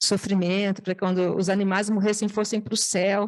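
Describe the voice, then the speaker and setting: A woman's voice at a medium pitch. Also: quiet background. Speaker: nonprofit founder. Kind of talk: testimony. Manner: fast; hesitant, many fillers and restarts.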